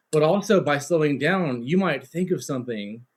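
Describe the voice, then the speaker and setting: This man's pitch swings very widely as he speaks. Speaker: debate team coach. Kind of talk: feedback in a practice session. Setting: video call. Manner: fast.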